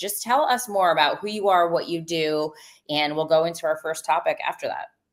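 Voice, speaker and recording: Fairly quick and fairly low-pitched, a woman speaks in an unremarkable speaking voice with ordinary pitch variation. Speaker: podcast host. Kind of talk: live podcast hosting. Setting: live stream video call.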